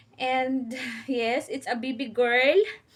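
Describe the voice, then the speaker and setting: Speaking at a very slow pace, a woman has a high pitch. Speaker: family vlogger. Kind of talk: casual vlog talk to camera. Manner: halting.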